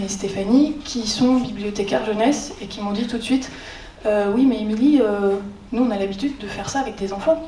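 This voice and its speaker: Here a woman talks at a moderate pace with a fairly high pitch and ordinary pitch variation. The recording has audible room echo and noticeable background noise. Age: 30s. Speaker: librarian. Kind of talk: conference talk. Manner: hesitant, many filler sounds; informal.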